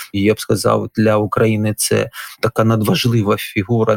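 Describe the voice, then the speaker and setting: A man's ordinary speaking voice, medium in pitch, at a moderate pace with a dry, close sound with no echo. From Ukraine, Donetsk. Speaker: historian and religious scholar, former captive. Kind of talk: interview.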